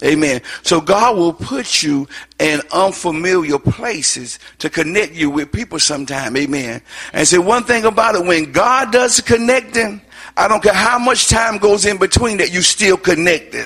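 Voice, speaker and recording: A man's high voice moves at a moderate pace with lively intonation, while noticeable background noise runs underneath. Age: old. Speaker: guest preacher. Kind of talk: sermon.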